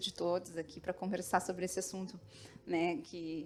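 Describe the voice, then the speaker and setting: A woman speaks with a São Paulo accent. Her pitch is medium and her pace moderate. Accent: paulista. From São Paulo, Brazil. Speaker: literature researcher. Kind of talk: panel talk. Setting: auditorium with audience.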